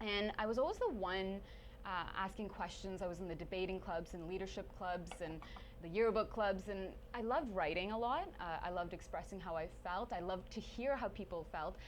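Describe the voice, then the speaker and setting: A woman with a Canadian accent talks fairly quickly at medium pitch, with vocal fry and ordinary pitch variation. Audible room echo surrounds her voice. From Sweden, then Stratford, Ontario. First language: Swedish. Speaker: TV journalist and presenter. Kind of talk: casual interview. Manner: animated.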